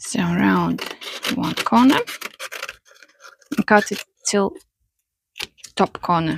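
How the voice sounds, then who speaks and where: With a non-native accent, a woman speaks at a very slow pace with long, frequent pauses, in a dry, close sound with no echo. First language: not English. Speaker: paper flower maker. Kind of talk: craft tutorial.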